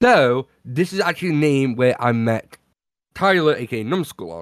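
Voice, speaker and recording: A man speaks at medium pitch in a British accent, with lively intonation. The recording is very clean, with a silent background. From Britain. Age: 20s. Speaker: podcast co-host and streamer. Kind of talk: casual chat.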